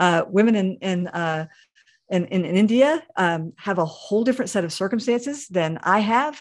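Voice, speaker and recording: A woman with an ordinary speaking voice uses lively intonation at a moderate pace and medium pitch, recorded very cleanly over a silent background. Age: 50s. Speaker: pastor. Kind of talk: interview.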